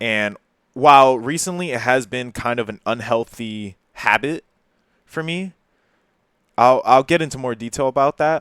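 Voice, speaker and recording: A man with a New Jersey accent and medium pitch talks at a moderate pace with ordinary pitch variation and long, frequent pauses, in a very clean recording with a silent background and a dry, close sound with no echo. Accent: New Jersey American English. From New Jersey, Perth Amboy. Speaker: YouTuber. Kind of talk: personal confessional monologue. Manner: halting, hesitant.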